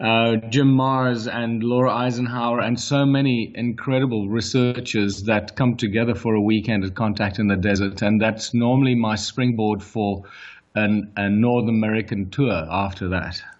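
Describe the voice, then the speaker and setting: Hardly pausing, a man with a strong South African accent speaks at a moderate pace and medium pitch, his intonation fairly even. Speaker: author and researcher. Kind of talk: interview.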